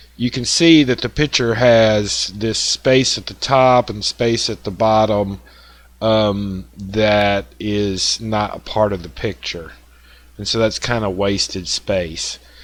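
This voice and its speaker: Speaking very slowly in a strong Southern US accent, a man uses a fairly low pitch with ordinary pitch variation. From US South. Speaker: woodworking software tutorial maker. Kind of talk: tutorial. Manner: casual, with many fillers.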